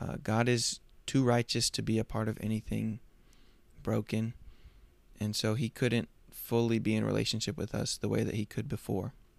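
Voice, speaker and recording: In a very clean recording with a silent background, a man of medium pitch speaks at a moderate pace. His intonation is fairly even, broken by long, frequent pauses. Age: 20s. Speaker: podcast host. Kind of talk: casual monologue; gospel presentation. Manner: casual with fillers.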